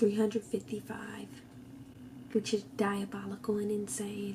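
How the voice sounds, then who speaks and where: Someone whispers over noticeable background noise. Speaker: book vlogger. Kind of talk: casual vlog commentary. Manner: animated; whispering.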